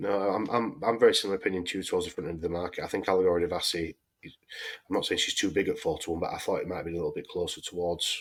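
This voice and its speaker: A man talks at a very fast pace with a Yorkshire accent. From Yorkshire, England. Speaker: horse racing podcast host. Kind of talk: casual chat.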